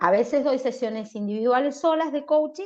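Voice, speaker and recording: A woman speaks with ordinary pitch variation. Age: 40s. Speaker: life coach. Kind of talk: casual interview.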